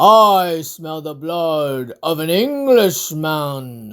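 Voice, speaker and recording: A put-on character voice, bellowing at a middle pitch. It moves at a very slow pace. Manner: booming, bellowing.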